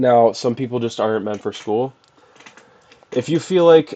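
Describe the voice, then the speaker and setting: Moderate pace from a man's voice. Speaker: youtuber giving advice. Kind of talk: casual vlog advice talk. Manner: monotone; casual, with filler words.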